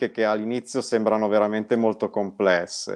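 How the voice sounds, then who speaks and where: Over a quiet background, a man talks at a fairly low pitch with monotone, flat intonation. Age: 40s. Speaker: guest. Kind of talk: casual interview. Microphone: video call.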